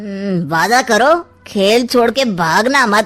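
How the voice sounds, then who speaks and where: A woman speaks in a cartoonish character voice, fairly high-pitched, at a very slow pace with lively intonation. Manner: sly, mocking.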